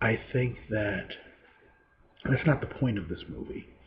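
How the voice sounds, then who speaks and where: A man speaks quietly and somewhat breathily with ordinary pitch variation. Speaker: movie reviewer. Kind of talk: solo video review. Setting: home, late at night.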